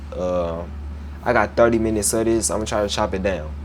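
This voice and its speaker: Pitch varies in an ordinary way, with audible room echo and noticeable background noise. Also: man. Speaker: Bible teacher. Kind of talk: Bible lesson with scripture reading. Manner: casual, conversational; stumbles over words.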